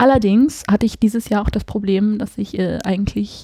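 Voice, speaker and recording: Fairly quick, somewhat breathy speech with a dark, mellow tone and ordinary pitch variation. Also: woman. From Hesse, near Frankfurt. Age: 20s. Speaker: fashion and portrait photographer. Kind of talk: casual chat. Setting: home living room.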